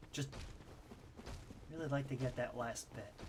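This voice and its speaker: A man is speaking. Audible room echo surrounds his voice. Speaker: video game streamer. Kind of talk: casual live gameplay commentary. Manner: halting, many fillers.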